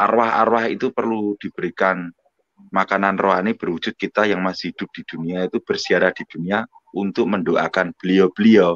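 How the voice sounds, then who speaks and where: A man's fairly low-pitched voice with a North Sumatran accent, fairly quick pace, and a dry, close sound with no echo. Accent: sounds like a Batak. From Indonesia, Surabaya (East Java). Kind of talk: live online religious discussion. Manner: loud, forceful delivery.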